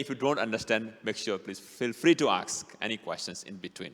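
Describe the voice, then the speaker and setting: At a moderate pace and with ordinary pitch variation, a man speaks in a strong Bhutanese accent. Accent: strong Nepali-Bhutanese. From Bhutan, Nepali ethnicity. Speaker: city councilman, guest speaker. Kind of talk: talk to a church audience. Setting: church hall with small audience.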